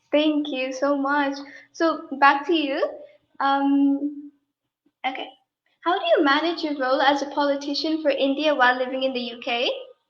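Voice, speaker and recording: Audible room echo surrounds a woman's high-pitched, monotone, flat delivery at a moderate pace with long, frequent pauses. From Dubai. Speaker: interviewer. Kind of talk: interview.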